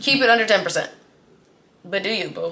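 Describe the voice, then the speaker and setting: An animated tone comes through over noticeable background noise. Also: woman. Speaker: credit and finance educator. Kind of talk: tutorial. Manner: fast.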